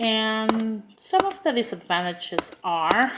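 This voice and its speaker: A woman talks with a strong Spanish accent. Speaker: preschool teacher. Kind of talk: class speech. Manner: halting, many fillers.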